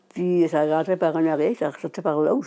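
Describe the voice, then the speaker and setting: The pace of this woman's speech is moderate. She shows ordinary pitch variation. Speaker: adult learner with low literacy. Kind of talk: personal testimony. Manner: halting.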